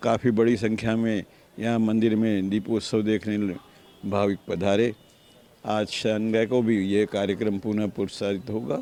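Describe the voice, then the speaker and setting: Here a man speaks with a fairly low pitch and monotone, flat intonation. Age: 80s+. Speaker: temple trustee. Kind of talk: interview.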